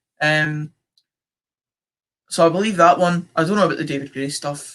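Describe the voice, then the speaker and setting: This man's voice has a bright, sharp tone and a fairly high pitch. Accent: central Scottish. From Scotland, central belt. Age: young. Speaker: football fan streamer. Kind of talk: live stream watchalong chat, reading comments. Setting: live stream.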